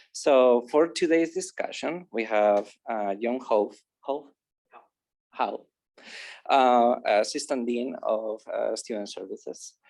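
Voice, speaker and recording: A Spanish accent at a very slow pace, with long, frequent pauses. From Spain. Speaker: academic advisor, panel moderator. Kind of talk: panel discussion moderation. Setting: video call. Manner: halting, many fillers.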